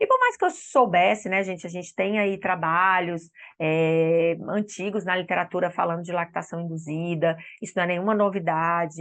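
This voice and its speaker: A woman with a normal speaking voice, fairly low pitch and fairly even intonation. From Espírito Santo, Brazil. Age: 40s. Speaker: speech therapist and lactation consultant. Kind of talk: online course lecture. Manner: warm, conversational.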